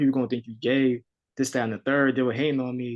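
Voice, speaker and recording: With a New York accent, a man talks at a very fast pace in a medium pitch, his intonation flat and monotone. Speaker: rapper. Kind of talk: casual chat.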